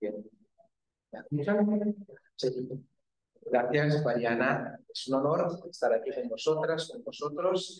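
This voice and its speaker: Speaking at a very slow pace with long, frequent pauses, a man uses a fairly high pitch that makes very wide swings. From Brazil. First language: Portuguese (speaking Spanish). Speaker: geography researcher. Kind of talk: academic talk. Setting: university classroom with audience.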